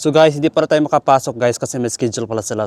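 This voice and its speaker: A man's voice, with ordinary pitch variation, comes through dry and close with no echo. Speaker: vlogger, former overseas worker. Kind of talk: casual vlog. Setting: outdoors. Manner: rambling, casual.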